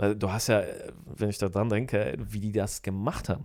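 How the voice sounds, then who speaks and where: Recorded very cleanly against a silent background, a man with a fairly low pitch and an ordinary speaking voice talks at a moderate pace. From Germany, moved from Poland as a small child. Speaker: podcast guest, host's brother-in-law. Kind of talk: casual chat.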